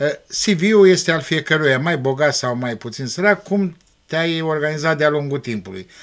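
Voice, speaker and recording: Speaking in a normal speaking voice, a man with a fairly high pitch and lively intonation keeps a moderate pace against a quiet background. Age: 60s. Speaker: school principal; guest. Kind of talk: TV interview. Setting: TV studio. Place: studio. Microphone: studio mic.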